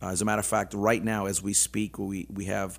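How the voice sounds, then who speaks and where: In a very clean recording with a silent background, a man with an unremarkable speaking voice talks at a moderate pace in a fairly low pitch. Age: 50s. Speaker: businessman and motivational speaker. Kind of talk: casual interview. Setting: studio.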